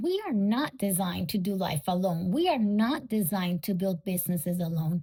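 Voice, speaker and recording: The voice has a non-native accent, a dark, mellow tone and a somewhat breathy sound. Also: woman, dry, close sound with no echo, very clean recording, silent background. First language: not English. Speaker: podcast host, bookkeeper and business coach. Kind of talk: solo podcast monologue.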